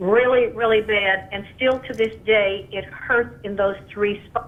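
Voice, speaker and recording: A woman's voice comes through noticeable background noise. It sits at a fairly high pitch with ordinary pitch variation. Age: 60s. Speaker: caller. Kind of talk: call-in question.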